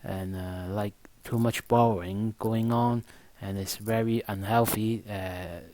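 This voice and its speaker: This man speaks at a fairly slow pace with a non-native accent, his fairly low voice flat and monotone on a very clean recording with a silent background. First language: not English. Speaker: stock market analyst. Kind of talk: market analysis monologue. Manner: halting, many fillers.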